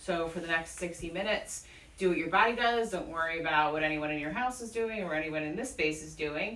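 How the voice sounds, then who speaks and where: A woman mumbles over noticeable background noise and audible room echo. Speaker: yoga teacher. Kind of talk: guided yoga class. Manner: mumbling. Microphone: speaking without mask, worried voice won't carry.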